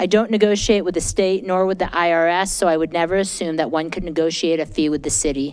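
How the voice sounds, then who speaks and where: The speaker goes at a very fast pace with hardly any pauses and ordinary pitch variation. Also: woman, fairly low pitch for a woman. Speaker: citizen commenter at public meeting. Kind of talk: public comment statement. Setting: council meeting at a microphone.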